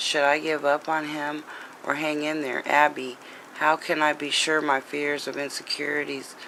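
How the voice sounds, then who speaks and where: The delivery moves at a moderate pace. Noticeable background noise runs behind it. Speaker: writer of a memoir and pilot script. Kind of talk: reading own memoir draft aloud. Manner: halting, self-correcting reading.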